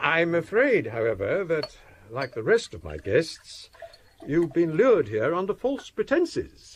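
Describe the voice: A man's put-on character voice, fairly high in pitch, slow, with very wide pitch swings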